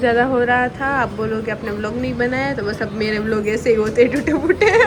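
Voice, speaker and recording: There is noticeable background noise and audible room echo. Through it, a woman speaks at a fairly high pitch. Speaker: family vlogger. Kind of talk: casual vlog talk. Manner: animated.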